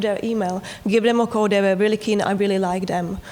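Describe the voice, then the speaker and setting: Noticeable background noise sits under a woman speaking at a fairly quick pace in a Czech accent. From Czechoslovakia. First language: Czech or Slovak. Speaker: TV producer. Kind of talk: panel discussion.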